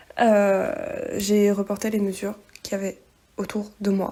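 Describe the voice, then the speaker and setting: Noticeable background noise sits behind the recording. A woman speaks fairly slowly in a fairly high voice. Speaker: sewing vlogger. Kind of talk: tutorial vlog narration. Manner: monotone; hesitant, many fillers.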